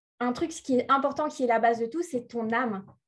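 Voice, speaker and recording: A woman with a high pitch at a moderate pace, against a quiet background. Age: 30s. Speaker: spiritual life coach. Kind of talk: interview.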